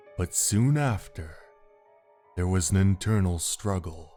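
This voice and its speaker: A man's put-on character voice, very deep and low, at a fairly slow pace over faint music in the background. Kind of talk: audio drama dialogue.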